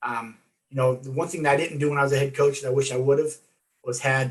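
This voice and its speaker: Some breathiness runs through the voice. The pace stays moderate. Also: man. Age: 60s. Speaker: former coach and athletic director. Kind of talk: interview. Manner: halting.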